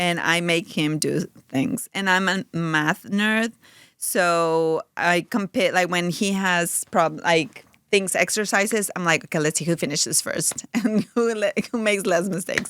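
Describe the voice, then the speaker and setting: In a very clean recording with a silent background and a dry, close sound with no echo, a woman with a Spanish accent speaks at a fairly slow pace in a medium pitch, with ordinary pitch variation. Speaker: mother of four, podcast guest. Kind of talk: casual chat.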